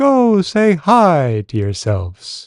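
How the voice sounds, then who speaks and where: Against a quiet background, the speaker uses a put-on character voice. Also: man. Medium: read story. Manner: warm, gently curious.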